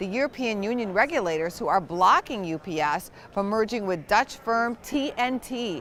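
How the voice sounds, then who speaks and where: A woman with a fairly high pitch speaks at a moderate pace with lively intonation over noticeable background noise. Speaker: business news anchor. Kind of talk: broadcast business news anchor read.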